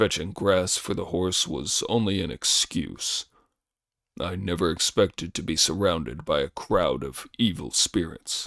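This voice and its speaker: A man puts on a character voice, pitched very deep and low. The recording is very clean, with a silent background. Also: moderate pace. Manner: whining, complaining.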